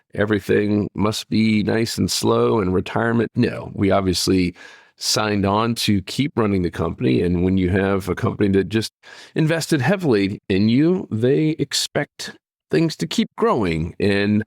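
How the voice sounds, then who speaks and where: In an ordinary speaking voice, a man talks at a moderate pace with a fairly low pitch, lively intonation and very even loudness. The recording is very clean with a silent background and a dry, close sound with no echo. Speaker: podcast host and fishing company co-founder. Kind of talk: casual monologue.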